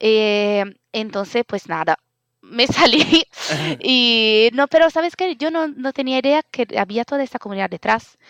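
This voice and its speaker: Recorded dry and close with no echo, a woman speaks fairly slowly at a high pitch with lively intonation, in an Italian accent. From Italy. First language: Italian (speaking Spanish). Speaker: open-source community organizer. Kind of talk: interview. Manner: halting, many fillers.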